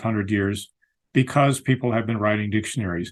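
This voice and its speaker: The intonation stays fairly even over a quiet background. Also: man. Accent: American. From Colorado, US. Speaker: lexicographer. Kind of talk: interview. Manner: repeats words, some hesitation.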